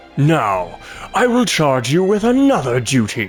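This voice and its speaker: A man in a put-on character voice at a fairly slow pace, with clear music in the background. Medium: game stream. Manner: imperious.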